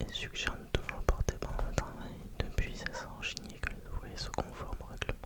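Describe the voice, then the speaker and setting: Over noticeable background noise, the whispering moves at a fairly quick pace. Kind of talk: whispered ASMR reading aloud to help sleep. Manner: whispered, very quiet.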